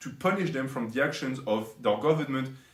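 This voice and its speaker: A somewhat breathy man with a non-native accent and very wide pitch swings. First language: not English. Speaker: commentary YouTuber. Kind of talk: commentary monologue.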